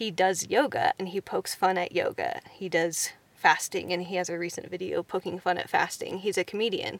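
The speech runs at a fairly quick pace with hardly any pauses. The sound is dry and close, with no echo. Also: woman. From Kansas. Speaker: podcast co-host, nomadic YouTuber. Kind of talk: casual chat.

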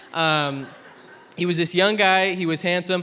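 Amid audible room echo, a man with a high pitch and a bright, sharp tone speaks at a moderate pace. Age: 20s. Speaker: pastor. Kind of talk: sermon. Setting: church. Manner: animated.

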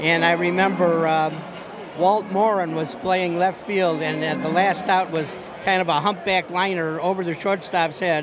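Noticeable background noise surrounds a man speaking at a moderate pace with an American accent. His high-pitched voice has monotone, flat intonation. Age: 70s. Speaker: baseball fan. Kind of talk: interview. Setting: outdoors. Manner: halting.

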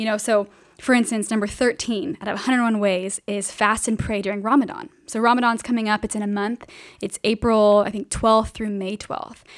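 A woman with an American accent and an ordinary speaking voice, fairly high in pitch, fairly quick in pace and fairly even in intonation, on a very clean recording with a silent background. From Southern California, Riverside. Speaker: missions mobilizer. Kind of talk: casual interview.

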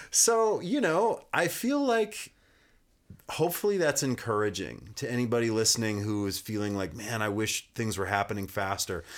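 A man with an American accent speaks at a moderate pace on a very clean recording with a silent background. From US, rural Montana (Kalispell). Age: 40s. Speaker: musician. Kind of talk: casual chat. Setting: studio.

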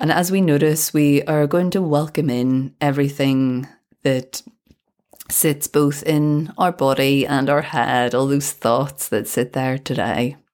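Speaking at a fairly slow pace with a British accent, a woman uses a very deep, low pitch, a calm tone, fairly even intonation and very even loudness. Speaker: podcast host and balance coach. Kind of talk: guided meditation. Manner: slow, calm.

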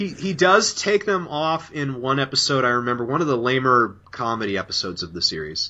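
Over noticeable background noise, a man at medium pitch talks at a fairly quick pace with hardly any pauses. His pitch swings very widely. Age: 20s. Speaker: guest podcaster and interviewer. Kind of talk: casual chat.

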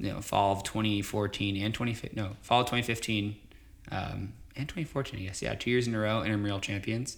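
This man has a plain, everyday voice at a fairly low pitch. He speaks at a moderate pace. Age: 20s. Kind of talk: casual interview.

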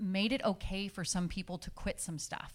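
A woman with an American accent speaks in an unremarkable speaking voice at a medium pitch and moderate pace, with ordinary pitch variation. The recording is very clean with a silent background. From California (Orville area). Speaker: marriage and family therapist. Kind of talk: interview on stage.

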